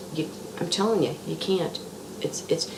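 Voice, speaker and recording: Her pitch varies in an ordinary way as a woman talks. Background noise is noticeable throughout. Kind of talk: casual religious monologue. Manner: halting, repetitive.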